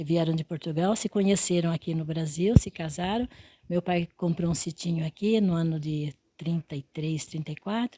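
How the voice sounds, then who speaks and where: A woman speaks at a moderate pace in a fairly low, dark and mellow tone that is somewhat breathy. Her intonation is fairly even, and the sound is dry and close with no echo. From Brazil, interior of São Paulo state (Quintana). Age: 80s+. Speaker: retired teacher. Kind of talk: interview. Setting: at home. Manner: halting.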